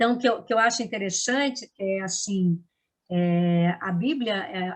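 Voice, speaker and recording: A woman speaks in a somewhat breathy voice. Her pitch is medium, with ordinary pitch variation. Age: 60s. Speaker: actress and drama teacher. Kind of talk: interview. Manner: halting, with many restarts.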